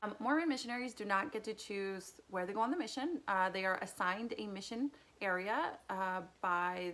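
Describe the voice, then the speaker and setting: A woman speaks in a Spanish accent at a moderate pace. Her pitch varies in an ordinary way. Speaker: youtuber. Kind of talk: casual personal vlog.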